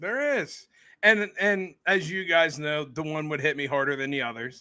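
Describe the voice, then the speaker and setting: Recorded very cleanly over a silent background, a man with an American accent speaks in a fairly high pitch with a bright, sharp tone. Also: ordinary pitch variation, moderate pace. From central Pennsylvania. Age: 30s. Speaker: podcaster. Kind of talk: casual chat. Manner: talkative.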